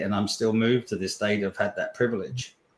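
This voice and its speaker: An ordinary speaking voice with ordinary pitch variation. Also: man. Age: 60s. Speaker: personal development coach. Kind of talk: interview.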